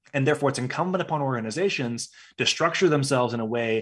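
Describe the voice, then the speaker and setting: A man speaks in an ordinary speaking voice at medium pitch with ordinary pitch variation. The recording is very clean, with a silent background. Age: 30s. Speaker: HR consultancy founder and CEO. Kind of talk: interview conversation.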